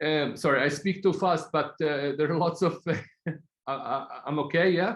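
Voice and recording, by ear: A man speaks at a moderate pace, fairly high in pitch, fairly bright in tone, with ordinary pitch variation.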